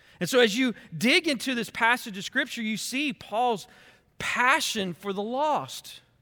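Very slowly, a man projects a raised, extremely high voice with a bright, sharp tone and lively intonation, recorded very cleanly, dry and close, with a silent background and no echo. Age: 40s. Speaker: pastor. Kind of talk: sermon. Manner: animated.

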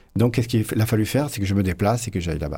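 A man's voice has a dark, mellow tone and is somewhat breathy. The recording is very clean, with a silent background. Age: 50s. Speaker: flamenco guitarist. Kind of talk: radio interview.

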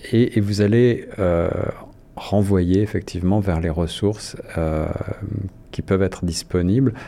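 Long, frequent pauses break up this man's fairly low, dark, mellow voice, which keeps fairly even intonation. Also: fairly slow pace. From France. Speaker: radio host. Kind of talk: radio interview. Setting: studio.

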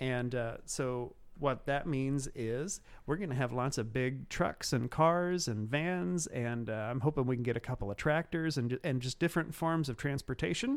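With a Midwestern American accent, a man speaks at a moderate pace, his pitch varying in an ordinary way. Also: medium pitch for a man, very clean recording, silent background. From Cumberland County, central Illinois. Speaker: city tourism director. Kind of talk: casual interview chat.

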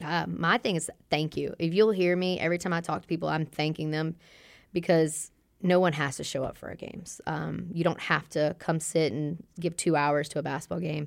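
In a very clean recording over a silent background, a woman with a very deep, low pitch and vocal fry talks at a fairly quick pace with fairly even intonation. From Louisiana (Hammond). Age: 30s. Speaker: college basketball head coach. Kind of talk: interview. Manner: calm.

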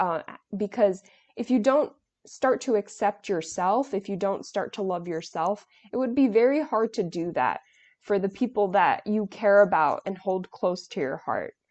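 In an American accent, a woman uses an unremarkable speaking voice at medium pitch. She talks at a moderate pace with lively intonation. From US Northeast, New York City. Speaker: nonprofit junior board member, college student. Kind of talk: interview, conversational.

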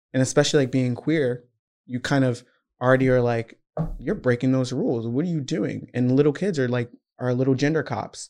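Using a normal speaking voice with an American accent, a man talks at a fairly quick pace, medium in pitch and with fairly even intonation. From US South, Georgia. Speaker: university student. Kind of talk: casual chat.

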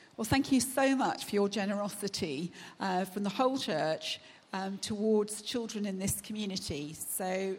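At a medium pitch, a woman speaks at a moderate pace with ordinary pitch variation and a somewhat breathy sound. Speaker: charity representative. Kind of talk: speech. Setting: church.

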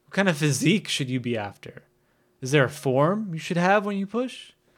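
In a plain, everyday voice with an American accent, a man talks at a moderate pace with lively intonation. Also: very clean recording, silent background. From US Northeast, northern New Jersey. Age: 30s. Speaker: podcast host, skateboarder. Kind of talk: solo podcast monologue.

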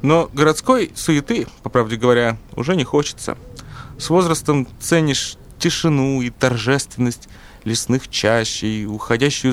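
This man has a normal speaking voice at medium pitch with ordinary pitch variation. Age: 60s. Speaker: farmer, former businessman. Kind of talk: testimony.

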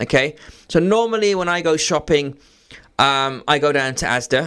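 A man speaks in a normal speaking voice at a fairly high pitch. His pitch varies in an ordinary way. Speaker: radio host. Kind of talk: live radio DJ patter, friendly call-in banter with greetings and sign-offs.

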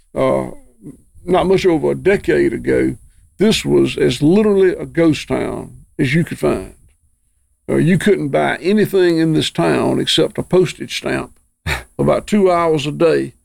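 A man speaks at a fairly slow pace in a Southern US accent. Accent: Southern US (Georgia). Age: 60s. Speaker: farmer. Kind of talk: casual chat.

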